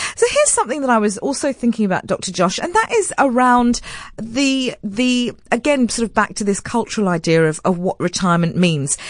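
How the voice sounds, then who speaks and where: Delivered at a fairly quick pace, an ordinary speaking voice carries lively intonation. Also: woman, fairly high pitch for a woman. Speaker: radio host. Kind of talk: late-night radio phone-in. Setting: radio studio.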